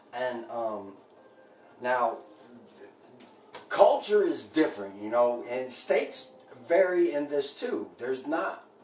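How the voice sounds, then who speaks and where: A man with an American accent at a fairly slow pace, long and frequent pauses, big swings in loudness, audible room echo and noticeable background noise. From Indianapolis, Indiana. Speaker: home cooking streamer. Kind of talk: casual live-stream chat while baking. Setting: live stream. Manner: halting, many fillers.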